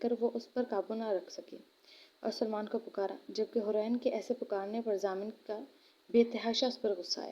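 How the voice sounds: Fairly even intonation in a natural reading voice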